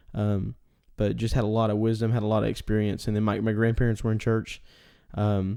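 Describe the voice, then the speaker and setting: A man's fairly low, dark and mellow voice with a Texan accent, monotone and flat in intonation, on a very clean recording with a silent background. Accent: Texan Southern US. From East Texas, US. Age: 20s. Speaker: podcast host. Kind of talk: solo podcast monologue. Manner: halting, many fillers.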